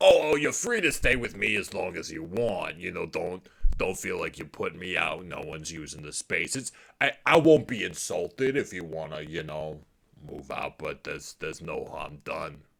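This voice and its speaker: A man puts on a character voice at a medium pitch. He keeps a moderate pace while his loudness swings widely. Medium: actual play. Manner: rambling, hesitant.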